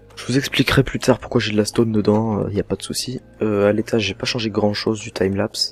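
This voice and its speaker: A soft-spoken man talks at a very fast clip in a fairly low, flat monotone. His loudness swings widely, and noticeable background noise runs underneath. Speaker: gaming youtuber. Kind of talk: let's play commentary.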